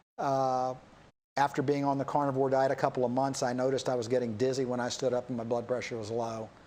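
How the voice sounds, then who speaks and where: In a very clean recording with a silent background, a man with an American accent talks at a very fast pace, with medium pitch and fairly even intonation. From United States. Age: 60s. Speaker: doctor and rancher. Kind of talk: talk show interview. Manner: halting, many fillers.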